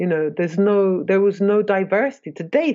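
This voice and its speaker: A woman talks at a moderate pace in a dark, mellow tone. The background is quiet. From London, England. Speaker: mycologist and nonprofit director. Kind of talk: interview.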